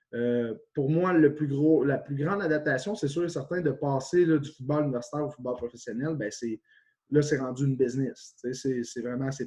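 A man speaks in a dark, mellow tone, somewhat breathy. His pitch is fairly high and his pace moderate. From Quebec, Témiscamingue region. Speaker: university football coach, former pro player. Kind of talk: interview.

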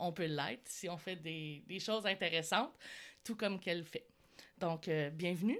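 Speaking in a Quebec accent, a woman with a fairly low pitch and ordinary pitch variation keeps a moderate pace. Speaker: podcast host. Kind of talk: interview.

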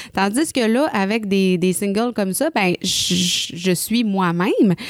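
A woman's medium-pitched voice with a Quebec accent and lively intonation. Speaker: singer. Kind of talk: casual chat. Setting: studio.

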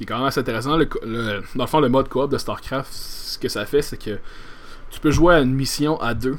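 A medium-pitched man with a Quebec accent, at a fairly quick pace and with ordinary pitch variation. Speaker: podcast host. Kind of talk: solo podcast monologue. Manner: halting, many repetitions and fillers.

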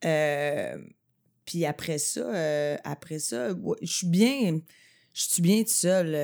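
A woman's fairly low-pitched voice, lively in intonation, at a very slow pace with long, frequent pauses, in a very clean recording with a silent background. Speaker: podcaster and comedy writer. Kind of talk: casual chat.

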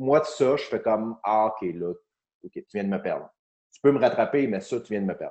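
Talking at a moderate pace, a man's voice shows big swings in loudness. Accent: Quebec. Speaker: comedian and podcast host. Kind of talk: casual chat.

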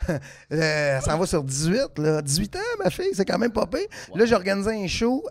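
A man with a high pitch and lively intonation speaks at a moderate pace over noticeable background noise. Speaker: comedian. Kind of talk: casual chat.

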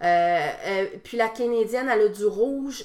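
At a fairly slow pace, a woman talks with ordinary pitch variation in an unremarkable speaking voice. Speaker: wrestling promoter and wrestler. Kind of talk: casual interview.

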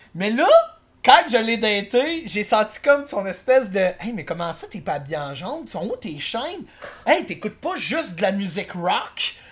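Speaking fairly slowly with a Quebec accent, a man uses a high pitch with very wide pitch swings and big swings in loudness. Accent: Québécois French. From Quebec City. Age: 20s. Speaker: karaoke performer. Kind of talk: casual chat.

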